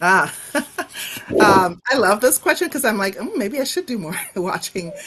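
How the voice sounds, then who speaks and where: With noticeable background noise behind her, a woman with a fairly high pitch speaks at a moderate pace with very wide pitch swings. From Nigeria. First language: Igbo. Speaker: professor. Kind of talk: interview.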